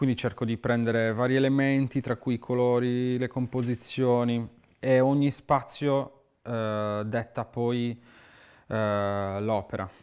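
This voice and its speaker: A man talks at a very slow pace in a medium pitch. His intonation is monotone and flat, and the background is quiet. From Sardinia, Italy. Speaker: muralist artist. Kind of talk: interview monologue. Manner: halting, repeats words. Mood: calm, reflective. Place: studio.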